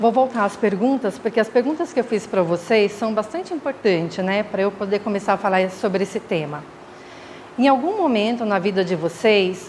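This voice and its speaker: At a moderate pace and medium pitch, a woman speaks with lively intonation over noticeable background noise. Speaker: spiritist lecturer, mental health worker. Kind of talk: lecture. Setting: spiritist center with audience, microphone. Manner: halting, many fillers. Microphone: too quiet at start.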